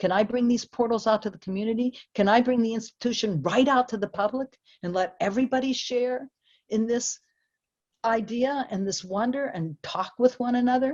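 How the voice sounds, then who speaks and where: A woman's fairly high-pitched, normal speaking voice at a moderate pace, ordinary pitch variation, dry, close sound with no echo. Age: 60s. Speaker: composer and lecturer. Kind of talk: lecture. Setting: video call.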